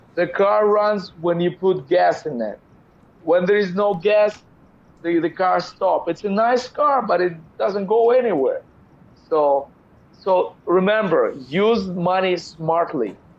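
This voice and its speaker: In a Russian accent, the voice moves with ordinary pitch variation and long, frequent pauses. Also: man, high pitch for a man, fairly slow pace. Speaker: business entrepreneur. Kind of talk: interview conversation.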